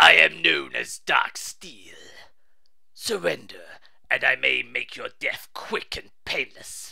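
A raspy, put-on character voice moves at a fairly slow pace. Light background noise can be heard. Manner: threatening.

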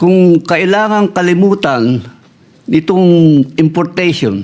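This man speaks with a fairly high pitch and lively intonation. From Philippines, Nueva Ecija. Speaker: farmer leader and agricultural engineer. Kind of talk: interview. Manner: halting.

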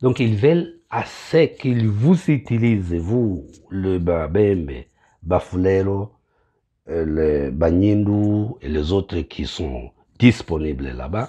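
Against a quiet background, a man with an eastern Congolese accent talks at a very slow pace in a very deep, low voice with a dark, mellow tone and very wide pitch swings. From eastern DR Congo. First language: Kinyamulenge (speaking French). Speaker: pastor. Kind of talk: political address to compatriots. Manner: halting, many hesitations. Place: bathroom. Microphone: phone near.

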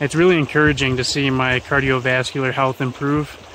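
Light background noise surrounds a dry sound with no echo. The speech keeps a moderate pace with monotone, flat intonation. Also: man. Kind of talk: casual vlog chat. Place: open country. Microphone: phone near.

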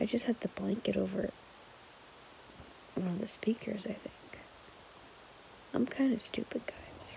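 Someone whispers at a moderate pace. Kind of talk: casual vlog chat. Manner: soft, sleepy late-night murmur. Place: home room. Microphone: phone near.

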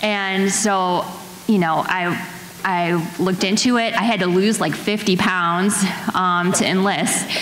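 A woman speaks at a very slow pace and medium pitch. Audible room echo and light background noise surround her voice. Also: fairly even intonation. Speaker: nurse and veteran. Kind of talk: panel discussion. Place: stage. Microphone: handheld.

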